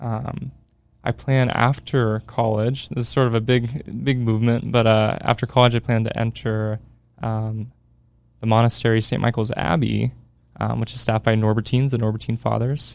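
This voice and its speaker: Fairly even intonation and medium pitch in a man with an ordinary speaking voice. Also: moderate pace. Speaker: theology student, sacred music enthusiast. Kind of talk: casual interview chat. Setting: studio.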